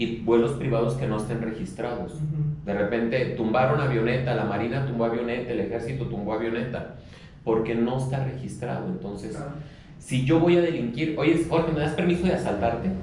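Fairly quick speech from a man at medium pitch, with audible room echo and noticeable background noise. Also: ordinary pitch variation. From Mexico City. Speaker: international trade professional and former professor. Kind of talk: casual interview chat.

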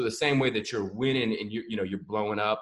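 At a fairly quick pace, a man speaks in a normal speaking voice at medium pitch with fairly even intonation. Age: 20s. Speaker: podcast host. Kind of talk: casual interview chat.

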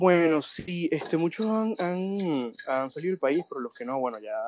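Intonation here is lively. The man speaking moves at a fairly slow pace. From Venezuela. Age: 20s. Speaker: audio engineering student and migrant. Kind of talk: casual interview chat. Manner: halting, many fillers.

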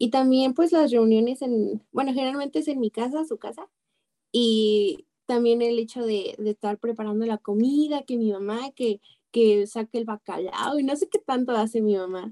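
A woman with a Mexican accent at a fairly high pitch, dark, mellow tone, moderate pace, ordinary pitch variation, and a dry, close sound with no echo. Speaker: radio show panelist. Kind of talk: casual spiritual radio talk.

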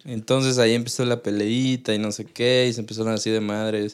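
A man's medium-pitched voice, monotone and flat, at a moderate pace. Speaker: podcast co-host. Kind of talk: casual chat.

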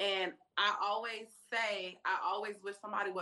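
A woman's ordinary speaking voice with an American accent, medium pitch and fairly even intonation. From Atlanta, Georgia, US South. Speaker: publicist. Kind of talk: casual interview.

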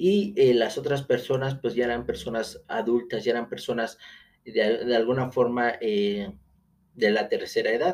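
A man talks at a fairly slow pace. His voice sits at a medium pitch with ordinary pitch variation. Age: 30s. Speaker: podcast host, real estate agent. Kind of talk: solo podcast monologue. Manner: hesitant, many fillers.

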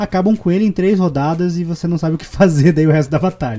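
A man speaks with a Curitiba accent in a dark, mellow tone. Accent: Curitiba accent, rolled R. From Curitiba, southern Brazil. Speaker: podcast host and game master. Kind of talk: casual chat.

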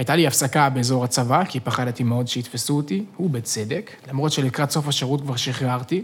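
A man with a plain, everyday voice speaks at a medium pitch and a moderate pace, with ordinary pitch variation and hardly any pauses. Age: 20s. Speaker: podcast host. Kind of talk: casual chat. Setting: studio.

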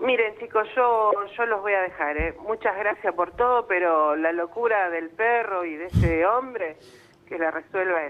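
Over noticeable background noise, a woman at a medium pitch talks at a fairly slow pace with ordinary pitch variation. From Argentina, Santa Fe province. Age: 50s. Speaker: radio caller. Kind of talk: phone-in conversation, emotional personal story.

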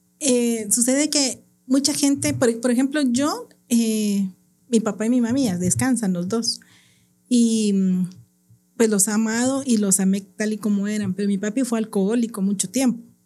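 Somewhat breathy and dark, mellow in tone, a woman with a fairly high pitch speaks at a fairly slow pace with ordinary pitch variation, on a very clean recording with a silent background. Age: 50s. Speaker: teacher. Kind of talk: testimony.

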